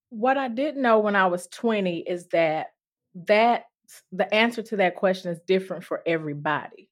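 In a Mississippi accent, a woman speaks at a moderate pace and medium pitch, her intonation lively and her loudness swinging widely. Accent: US Southern (Mississippi). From Mississippi, Durant. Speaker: nurse practitioner. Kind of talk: casual chat.

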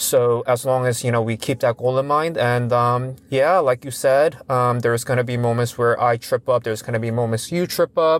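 A man with an ordinary speaking voice and medium pitch talks at a moderate pace with fairly even intonation and hardly any pauses. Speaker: psychiatry clinician and podcast co-host. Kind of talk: casual conversational podcast chat.

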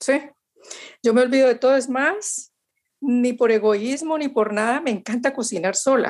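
At a moderate pace, a woman talks in a high pitch. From Colombia, Valle del Cauca. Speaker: chef and cookbook author. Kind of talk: interview. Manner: halting, with many repetitions.

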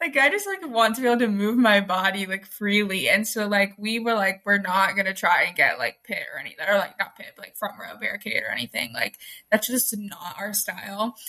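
A woman talks in a normal speaking voice at a medium pitch and a fairly quick pace, with hardly any pauses. Her intonation is lively and her loudness swings a lot. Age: 18. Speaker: podcast co-host. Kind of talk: casual chat. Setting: video recording from her room.

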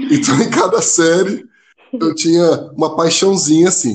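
A man with an unremarkable speaking voice talks at a fairly slow pace, his pitch fairly high and ordinary in its variation. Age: 20s. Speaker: seminarian and missionary. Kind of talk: casual chat.

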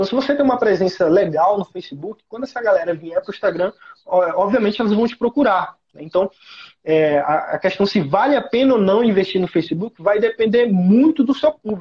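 A man's voice is high, and he talks fairly quickly. His intonation is lively. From Teresina, Piauí, Brazilian Northeast. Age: 20s. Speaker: digital marketing creator for construction. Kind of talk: live stream interview.

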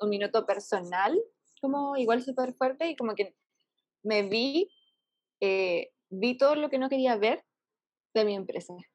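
Speaking at a fairly slow pace, a woman leaves long, frequent pauses. Her voice is fairly high, with ordinary pitch variation. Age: 20s. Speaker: entrepreneur. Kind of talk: casual interview.

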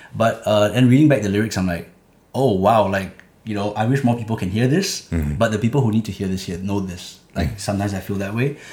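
A man speaks at a very fast pace with a fairly low, somewhat breathy voice and ordinary pitch variation. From Singapore, Clementi. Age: 20s. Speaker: rapper. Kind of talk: interview.

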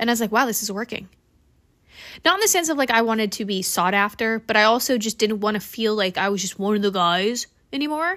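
A woman's fairly high, bright and sharp voice, animated and lively in intonation at a fairly quick pace, in a very clean recording with a silent background. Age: 20s. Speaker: solo podcast host. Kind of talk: personal monologue podcast. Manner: fast.

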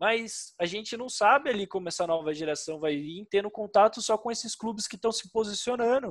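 Barely pausing, a man speaks at a high pitch with ordinary pitch variation. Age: 30s. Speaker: esports team founder. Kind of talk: interview.

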